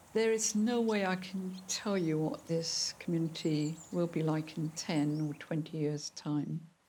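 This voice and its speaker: A woman with a dark, mellow tone speaks fairly low and fairly slowly. She uses hardly any pauses, and her pitch varies in an ordinary way. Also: very even loudness. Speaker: nun. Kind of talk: documentary interview.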